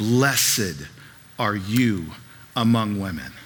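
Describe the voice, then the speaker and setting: Using a put-on character voice, a man speaks loudly and very slowly at a fairly low pitch. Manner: loud, exclaiming.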